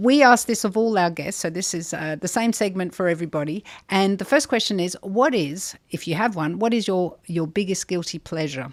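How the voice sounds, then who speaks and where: A woman with an Australian accent talks with lively intonation on a very clean recording with a silent background. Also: medium pitch for a woman, moderate pace, hardly any pauses. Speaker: podcast host, charity CEO. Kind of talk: interview podcast.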